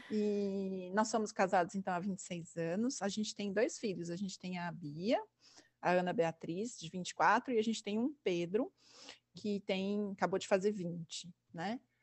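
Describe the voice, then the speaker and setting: A woman with an ordinary speaking voice talks at a fairly slow pace. Her pitch is medium, with ordinary variation. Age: 40s. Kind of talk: casual chat.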